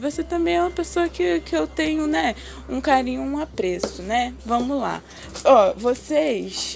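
The speaker keeps a moderate pace while noticeable noise carries on in the background. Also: woman. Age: 20s. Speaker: podcaster. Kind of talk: casual monologue. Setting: home balcony, outdoors. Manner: chatty.

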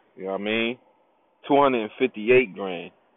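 A man speaks at a fairly low pitch with lively intonation. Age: 30s. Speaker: podcast host. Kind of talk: casual monologue. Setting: home studio. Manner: animated.

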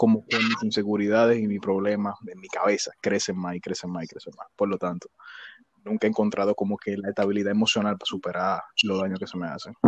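Delivered at a fairly quick pace, an ordinary speaking voice holds fairly even intonation in a dry, close sound with no echo. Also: man. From Dominican Republic, Villa Faro. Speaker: podcast co-host. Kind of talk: casual chat.

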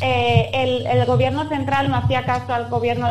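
Noticeable noise sits in the background. The talking holds a moderate pace. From Spain. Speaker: Spanish resident abroad. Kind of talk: interview.

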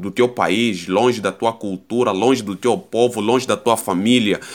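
On a very clean recording with a silent background, a man speaks at medium pitch and a fairly slow pace. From Angola (Luanda, Sambizanga). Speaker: podcast host. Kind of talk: casual monologue. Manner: halting.

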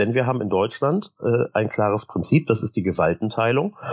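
Lively intonation and a fairly quick pace from a somewhat breathy man, in a dry, close sound with no echo. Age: 40s. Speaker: state parliament member. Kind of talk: casual interview.

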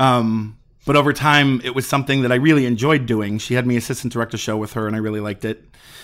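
Very clean recording, silent background. A man with an American accent and medium pitch talks at a very fast pace with fairly even intonation. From Chicago. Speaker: theater director. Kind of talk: interview.

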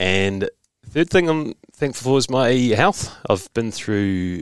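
Speaking at a fairly slow pace with lively intonation, a man with a New Zealand accent sounds dry and close, with no echo. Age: 30s. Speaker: podcast host and journalist. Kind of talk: casual interview.

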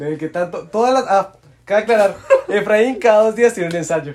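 Here a man speaks with a high pitch. He talks at a fairly quick pace with ordinary pitch variation. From Colombia. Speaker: university student, podcast guest. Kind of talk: casual chat.

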